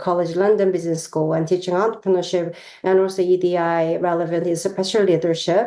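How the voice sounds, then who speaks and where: A woman with a Korean accent speaks at a medium pitch and a fairly quick pace, her tone dark and mellow. Audible room echo surrounds her voice. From South Korea. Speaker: professor. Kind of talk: lecture. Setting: video call.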